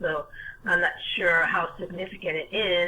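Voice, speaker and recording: With an American accent, a woman speaks at a fairly slow pace in a medium pitch over noticeable background noise. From US Northeast, North Jersey. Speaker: caller on a legal self-help video meeting. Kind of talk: casual chat. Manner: halting, many fillers.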